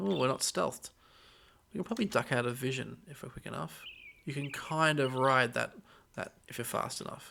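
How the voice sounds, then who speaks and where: With a bright, sharp tone and vocal fry, a man talks at medium pitch and a fairly quick pace, using lively intonation, long, frequent pauses and big swings in loudness. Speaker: gaming let's play creator. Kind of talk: let's play commentary. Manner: casual, conversational.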